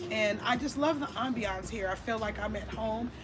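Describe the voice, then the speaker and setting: A woman talks at a moderate pace with a fairly high pitch and fairly even intonation. Noticeable background noise and audible room echo fill the recording. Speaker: podcast host and cannabis lobbyist. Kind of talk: casual interview chat. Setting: cigar lounge venue.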